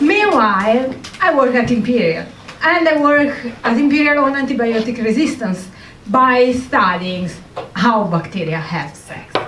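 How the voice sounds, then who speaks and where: A woman with an Italian accent speaks fairly slowly at a high pitch with very wide pitch swings. Noticeable background noise and audible room echo fill the recording. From Italy. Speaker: comedian and scientist. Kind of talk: stand-up. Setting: stage with audience.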